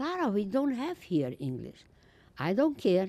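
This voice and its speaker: Speaking with a Romanian accent, a woman uses a dark, mellow tone, very wide pitch swings and a fairly slow pace. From Romania, Transylvania. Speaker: Holocaust survivor speaker. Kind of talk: testimony. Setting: school audience.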